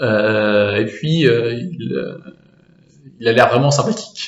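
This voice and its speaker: At a very slow pace, a man with a medium pitch speaks in a room with audible echo. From France (Normandy). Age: 20s. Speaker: student. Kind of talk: casual interview. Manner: hesitant, many fillers and repetitions.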